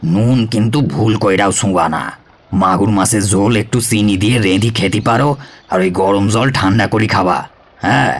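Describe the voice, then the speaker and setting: A man uses a put-on character voice pitched fairly low. His loudness stays very even throughout. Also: moderate pace. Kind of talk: comic character acting. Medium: audio drama. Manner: boastful, brushes off contradiction.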